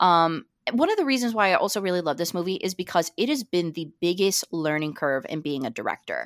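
With hardly any pauses, a woman with an unremarkable speaking voice talks at a fairly quick pace, her fairly low pitch rising and falling in lively intonation, on a very clean, dry, close recording with no echo and a silent background. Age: 20s. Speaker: film podcaster. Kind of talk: casual chat.

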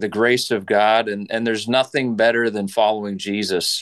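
With a fairly low pitch, a man speaks at a fairly slow pace in a clear, smooth, fairly bright tone with fairly even intonation.

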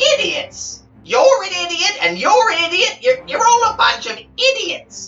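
An extremely high-pitched, put-on character voice moves at a fairly slow pace while faint music plays in the background. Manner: ranting, insulting.

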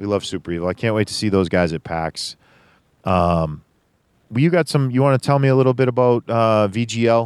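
A man speaks at a medium pitch with lively intonation in an unremarkable speaking voice. The recording is very clean with a silent background, and the sound is dry and close with no echo. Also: fairly quick pace. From Boston, Massachusetts. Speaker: gaming podcast host. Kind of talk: casual chat.

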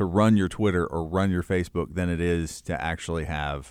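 Speaking at a fairly quick pace with a Kentucky accent, this man has a very deep, low pitch. The recording is very clean, with a silent background. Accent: Southern US (Kentucky). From rural Kentucky. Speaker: church leadership consultant. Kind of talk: interview.

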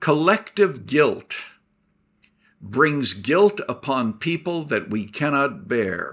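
A man speaks very slowly at a fairly high pitch, with very wide pitch swings and vocal fry. The recording is very clean, with a silent background. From Canada. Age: 80s+. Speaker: retired pastor and author. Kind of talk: interview.

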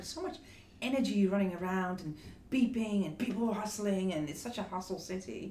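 Delivered at a fairly quick pace with ordinary pitch variation, the speech carries noticeable background noise. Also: woman. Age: 50s. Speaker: hairdresser and beauty executive. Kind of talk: interview. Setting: office.

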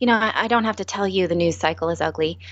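Here a woman talks at a very fast pace. Her pitch sits in the medium range. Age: 30s. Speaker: former network news anchor, personal finance speaker. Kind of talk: interview.

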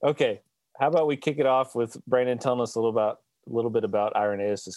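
With an American accent, a man talks at a fairly quick pace in a plain, everyday voice, with ordinary pitch variation and a dry, close sound with no echo against a quiet background. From US South (Alabama). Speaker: theologian and podcast co-host. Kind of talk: casual theological discussion.

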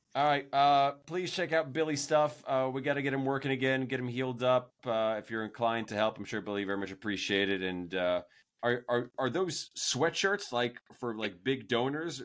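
Using lively intonation, a man with an ordinary speaking voice talks at a medium pitch. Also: moderate pace, very clean recording, silent background. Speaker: podcast host. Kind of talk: casual interview.

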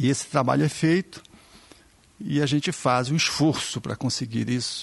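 A man's fairly high voice comes through with vocal fry. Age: 50s. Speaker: physician, therapist and spiritist speaker. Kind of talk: casual chat.

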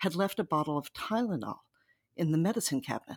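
A normal speaking voice, this woman's medium-pitched speech has lively intonation, in a very clean recording with a silent background and a dry, close sound with no echo. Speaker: journalist and author. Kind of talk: interview.

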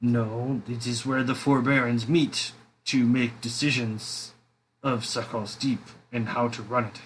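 A man puts on a character voice at a medium pitch. He goes at a fairly slow pace. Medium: actual play. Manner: stiff, formal.

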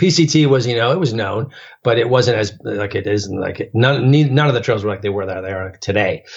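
A man of medium pitch speaks somewhat breathily at a fairly quick pace, with ordinary pitch variation. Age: 40s. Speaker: long-distance hiker. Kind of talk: casual interview.

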